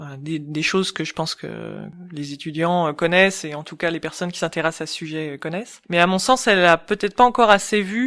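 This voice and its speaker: A woman with an unremarkable speaking voice talks at a fairly quick pace and a fairly low pitch, with ordinary pitch variation and big swings in loudness, on a very clean recording with a silent background. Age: 40s. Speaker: ergonomist and UX expert. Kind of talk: interview.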